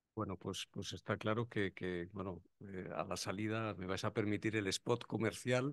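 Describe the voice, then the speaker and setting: In a dry sound with no echo and a quiet background, a man talks fairly slowly in a fairly low voice with fairly even intonation. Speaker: event moderator. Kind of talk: event moderation. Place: hall. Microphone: podium.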